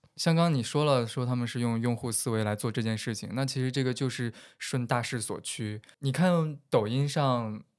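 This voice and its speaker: At a moderate pace, a man speaks in a normal speaking voice at a medium pitch with ordinary pitch variation, in a very clean recording with a silent background. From Henan, central China. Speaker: podcast co-host. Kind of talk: casual chat.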